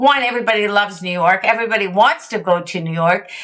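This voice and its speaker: A woman's voice at a moderate pace. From Canada, Montreal. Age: 60s. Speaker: sobriety movement founder. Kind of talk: interview.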